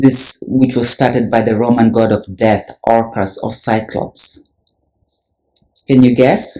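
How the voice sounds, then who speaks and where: Here a man talks at a very slow pace in a Kenyan accent, his tone dark and mellow. His medium pitch moves in fairly even intonation. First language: Luhya. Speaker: religious video presenter. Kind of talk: video commentary.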